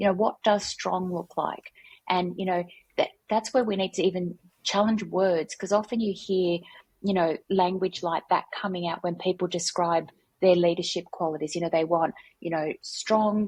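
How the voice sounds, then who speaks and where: A woman with a somewhat breathy voice speaks at medium pitch. Her pace is moderate and her intonation fairly even. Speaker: workplace culture consultant. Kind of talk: podcast interview.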